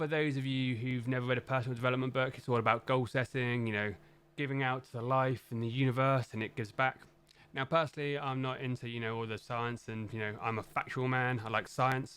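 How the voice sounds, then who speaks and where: In a London accent, a man delivers his words at a very fast pace with a medium pitch and monotone, flat intonation. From London, England. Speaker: tech YouTuber and software team manager. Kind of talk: casual recommendations monologue. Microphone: professional studio mic.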